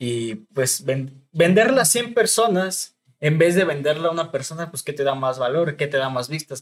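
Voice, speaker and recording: This man has a normal speaking voice, fairly high in pitch, and talks at a moderate pace. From Mexico, Estado de México (Chalco). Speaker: clothing brand founder. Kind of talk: casual chat.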